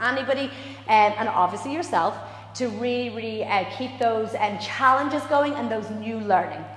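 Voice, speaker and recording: Music plays behind a woman whose voice sits fairly high, and the room echo is audible. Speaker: dance and movement instructor. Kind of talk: live exercise class instruction. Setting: dance studio, live stream.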